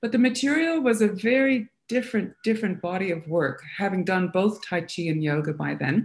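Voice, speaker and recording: A woman talks at a moderate pace with hardly any pauses, in a medium pitch and with a non-native accent. Her somewhat breathy voice makes very wide pitch swings. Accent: non-Australian accent noticeable. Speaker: Feldenkrais practitioner and massage therapist. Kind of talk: interview. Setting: live stream. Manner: halting, many fillers.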